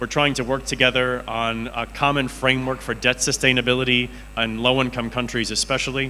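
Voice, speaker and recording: Noticeable background noise sits behind a man speaking at a medium pitch in a flat monotone. His pace is fairly quick, with hardly any pauses. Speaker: economist at international financial institution. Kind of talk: conference presentation. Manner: fast.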